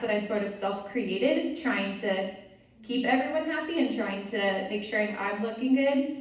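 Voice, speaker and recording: A woman's fairly high pitch amid audible room echo and noticeable background noise. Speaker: retreat speaker. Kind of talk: talk. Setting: retreat with live audience.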